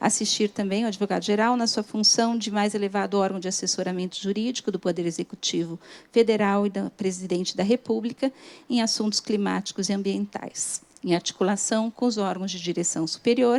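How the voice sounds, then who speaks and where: Soft-spoken and at a fairly quick pace, the voice keeps a fairly even intonation in a dry, close sound with no echo. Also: woman, medium pitch for a woman. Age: 50s. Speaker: government lawyer. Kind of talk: conference talk. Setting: stage with audience. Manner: formal.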